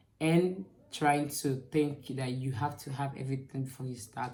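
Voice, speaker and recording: Somewhat breathy and dark, mellow in tone, a woman speaks at a very deep, low pitch amid audible room echo. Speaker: YouTuber giving channel tips. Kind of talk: tutorial. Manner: fast; animated.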